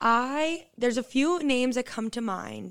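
Over a silent background in a very clean recording, a woman with an American accent speaks at a moderate pace with ordinary pitch variation in a plain, everyday voice. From Quincy, Massachusetts, US. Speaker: university student co-host. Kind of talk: casual chat.

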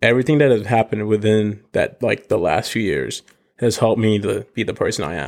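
Male speaker, an ordinary speaking voice, mid-range pitch, ordinary pitch variation, fairly quick pace. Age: 20s. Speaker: podcast host. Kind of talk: casual monologue. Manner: casual, filler-heavy.

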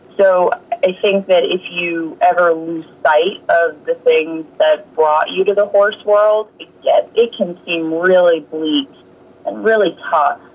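A woman with an American accent speaks very slowly at a medium pitch with ordinary pitch variation, with noticeable background noise. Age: 30s. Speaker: horse trainer and yoga instructor. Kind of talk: casual interview.

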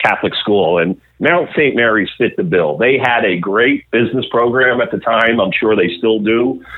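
A plain, everyday voice with an American accent. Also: man. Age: 50s. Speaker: media executive. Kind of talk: interview.

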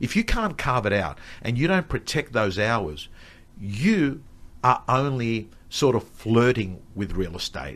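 Against a quiet background, a man speaks in a plain, everyday voice at medium pitch. He goes at a fairly slow pace, with lively intonation. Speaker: real estate coach and speaker. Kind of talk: casual rant-style chat, live streamed. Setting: studio, live streamed.

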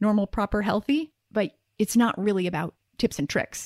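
A woman with a plain, everyday voice talks at a medium pitch and moderate pace. The recording is very clean and dry, close with no echo and a silent background. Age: 40s. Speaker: podcast host and intimacy coach. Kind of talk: solo podcast monologue.

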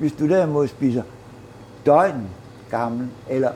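A man at medium pitch with a Jutland accent, fairly slow in pace, with ordinary pitch variation. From Herning, Midtjylland, Denmark. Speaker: baker. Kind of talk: casual chat. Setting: bakery.

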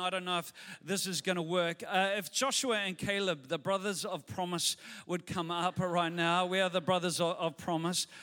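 The voice has a bright, sharp tone and fairly even intonation, with a New Zealand accent. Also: man. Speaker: pastor. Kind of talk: sermon. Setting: church.

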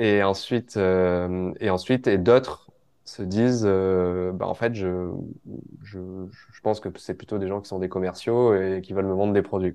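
A man speaks fairly slowly in a fairly low, monotone voice with flat intonation. His loudness swings widely. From southern France, Var (Provence). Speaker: startup founder and newsletter writer. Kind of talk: casual interview.

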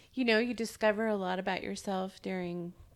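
A woman's medium-pitched voice, fairly slow and fairly even in intonation, on a very clean recording with a silent background. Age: 40s. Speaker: true crime podcast co-host. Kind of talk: casual chat.

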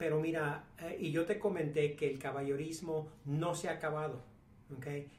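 The man's pitch is fairly high, his intonation fairly even, and his pace moderate. Noticeable background noise and audible room echo are present. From Mexico. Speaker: businessman. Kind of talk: casual chat. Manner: halting.

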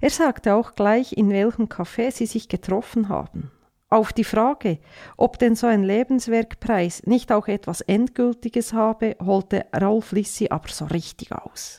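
A woman's fairly high voice with a dark, mellow tone, ordinary pitch variation, and a fairly slow pace, dry and close with no echo, on a very clean recording with a silent background. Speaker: radio commentator. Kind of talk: satirical opinion commentary.

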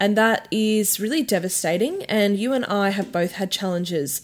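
In an Australian accent, a woman with a fairly high voice speaks with ordinary pitch variation, the recording very clean and the background silent. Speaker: sex worker podcast host. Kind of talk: casual chat.

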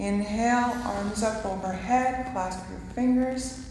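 There is noticeable background noise here. Through it, a woman talks very slowly. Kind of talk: guided chair yoga instruction. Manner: slow, calm, soothing, with deliberate pacing; gentle and encouraging.

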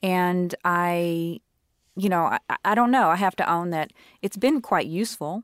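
With a fairly low pitch, a woman speaks at a fairly slow pace with ordinary pitch variation in an unremarkable speaking voice, recorded very cleanly against a silent background. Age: 40s. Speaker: biracial woman sharing her experience. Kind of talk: casual interview.

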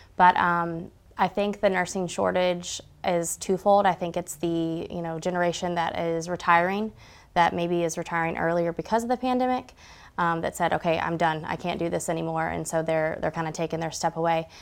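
An unremarkable speaking voice from a woman with an American accent, fairly low in pitch, keeping fairly even intonation at a fairly quick pace on a very clean recording with a silent background. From Georgia, US South. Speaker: nurse educator. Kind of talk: interview.

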